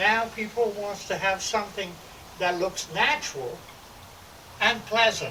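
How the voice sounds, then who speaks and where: This man speaks in a raised, projected voice at a high pitch, moving at a fairly slow pace with ordinary pitch variation and long, frequent pauses. Noticeable background noise runs underneath. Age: 70s. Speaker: landscape architect. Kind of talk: home tour video.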